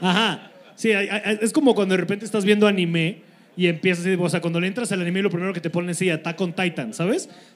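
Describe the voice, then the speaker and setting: The words come out at a very fast pace. Pitch variation is ordinary. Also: man, high pitch for a man. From Cuernavaca, Morelos, Mexico. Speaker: comedian, podcast co-host. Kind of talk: live comedy podcast chat. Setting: live show with audience.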